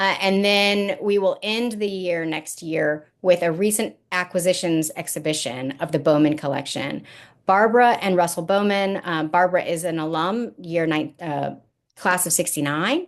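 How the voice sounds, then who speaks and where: Against a quiet background, a woman with an ordinary speaking voice, fairly low in pitch, talks at a moderate pace with ordinary pitch variation. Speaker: university gallery director. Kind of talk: online lecture presentation.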